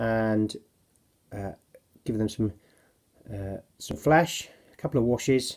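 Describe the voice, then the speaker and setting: Speaking at a fairly slow pace with long, frequent pauses, a man with a Cornish accent uses ordinary pitch variation. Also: medium pitch for a man. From Cornwall, England. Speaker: miniature wargaming hobbyist. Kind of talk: casual hobby showcase video. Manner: hesitant, many fillers.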